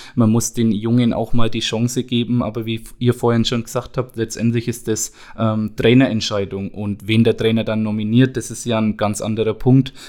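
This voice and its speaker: At a moderate pace and a medium pitch, a man talks in a monotone, flat intonation with hardly any pauses. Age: 20s. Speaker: youth football coach. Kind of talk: casual chat.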